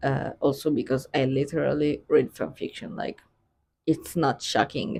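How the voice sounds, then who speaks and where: Keeping a moderate pace, this speaker talks with a non-native accent. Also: woman. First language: not English. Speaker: book vlogger. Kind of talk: casual chat. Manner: hesitant, filler-heavy.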